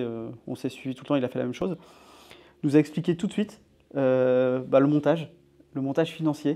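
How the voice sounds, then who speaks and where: Moving fairly quickly, the speaker has a dark, mellow tone. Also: man. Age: 30s. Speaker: real estate investor and entrepreneur. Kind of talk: casual interview chat.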